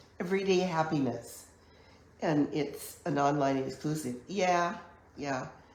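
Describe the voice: A woman with a low pitch and slightly mellow tone speaks at a fairly slow pace with ordinary pitch variation, amid strong room echo.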